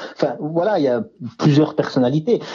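This is an ordinary speaking voice at a moderate pace, with ordinary pitch variation. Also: man. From France, mountain village near Swiss border. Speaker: author. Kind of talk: interview.

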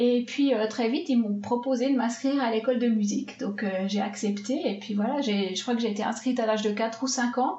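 The speech moves at a fairly quick pace with hardly any pauses and fairly even intonation. Noticeable background noise and audible room echo fill the recording. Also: woman, fairly high pitch for a woman. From Switzerland, Swiss Jura. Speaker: film composer. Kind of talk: interview.

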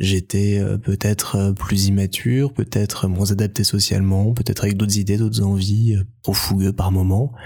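On a very clean recording with a silent background, a man with a fairly low pitch sounds somewhat breathy at a moderate pace. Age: 20s. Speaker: podcaster. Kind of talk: interview; podcast excerpt, introspective monologue.

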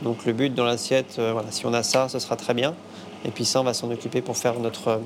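Against noticeable background noise, a man rattles off words at a very fast pace in a flat monotone at a medium pitch. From western France, Nantes area. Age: 30s. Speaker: chef and restaurant owner. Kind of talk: cooking demonstration; interview.

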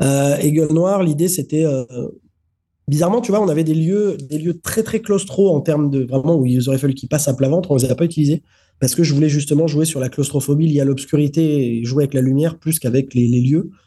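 The voice has a dark, mellow tone and is somewhat breathy. It moves at a very fast pace with ordinary pitch variation. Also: man. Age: 30s. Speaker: film director. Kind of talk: interview.

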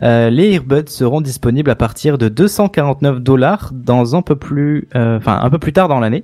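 A man with a normal speaking voice talks at a fairly high pitch and ordinary pitch variation. His pace is fairly slow, with hardly any pauses. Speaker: podcast co-host reading tech news. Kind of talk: casual tech podcast chat.

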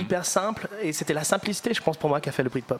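The speaker has an English accent and ordinary pitch variation. Noticeable background noise runs beneath the voice. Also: man. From northern England, Liverpool. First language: English (speaking French). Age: 20s. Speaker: musician. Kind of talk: panel discussion. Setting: live audience recording.

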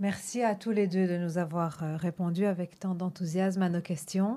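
A woman speaks at a moderate pace with an Antwerp accent, her fairly low, dark, mellow voice delivered in a monotone, flat intonation on a very clean recording with a silent background. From Antwerp, Belgium. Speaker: radio host. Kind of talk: scripted introduction; radio interview.

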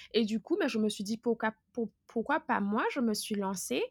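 A woman has an unremarkable speaking voice with a fairly high pitch. She talks at a fairly quick pace in a very clean recording with a silent background. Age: 30s. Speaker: content creator. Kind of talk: interview.

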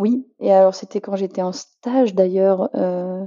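A woman is speaking. Her pace is very slow. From Paris region, rural Beauce. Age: 30s. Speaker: general practitioner. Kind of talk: interview. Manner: halting.

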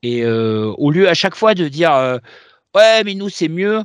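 A man's voice swings very widely in pitch over a quiet background. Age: 40s. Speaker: comics podcast co-host. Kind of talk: casual chat. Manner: halting, repeats words.

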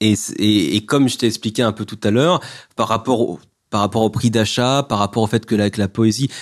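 A man talks in an unremarkable speaking voice with ordinary pitch variation. The background is quiet. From France, Mâcon area. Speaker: poet and author. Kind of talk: interview about his poetry book.

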